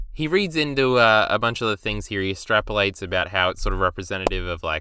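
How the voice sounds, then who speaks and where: A man with an Australian accent, medium pitch and a bright, sharp tone, lively intonation at a fairly quick pace, on a very clean recording with a silent background. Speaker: YouTube video reviewer. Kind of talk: casual commentary review. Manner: casual, hesitant with fillers.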